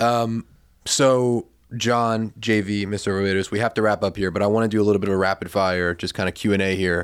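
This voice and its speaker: A man talks at a fairly quick pace in a fairly low pitch with fairly even intonation. It is a normal speaking voice on a very clean recording with a silent background. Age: young. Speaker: podcast host. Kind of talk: interview conversation.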